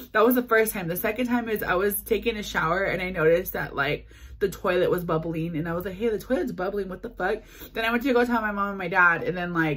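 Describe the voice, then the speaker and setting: A woman talks very fast, with ordinary pitch variation. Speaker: vlogger. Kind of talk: casual vlog chat. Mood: frustrated, venting. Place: home room. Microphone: phone near.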